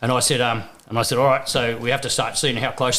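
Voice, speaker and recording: Talking at a very fast pace, a man speaks with an Australian accent. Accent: thick Australian. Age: 50s. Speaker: first-time father. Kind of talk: casual chat.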